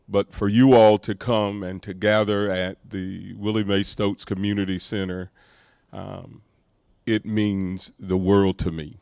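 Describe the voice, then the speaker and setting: A man speaks fairly slowly in a fairly low, monotone, flat voice. The sound is dry and close, with no echo. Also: very clean recording, silent background. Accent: Southern US. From US South, Micanopy, north Florida. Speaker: pastor. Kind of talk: public speech at ceremony. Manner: hesitant fillers.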